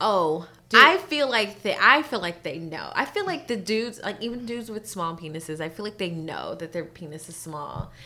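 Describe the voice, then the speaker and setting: Bright and sharp in tone, a woman at a medium pitch speaks with hardly any pauses, very wide pitch swings and big swings in loudness. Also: moderate pace. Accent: Californian. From California. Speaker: singer and entertainer. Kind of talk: casual chat.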